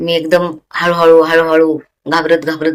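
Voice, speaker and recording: The woman's pitch is very deep and low. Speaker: tailoring YouTuber. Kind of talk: tutorial. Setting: home sewing room at night. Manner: casual, conversational.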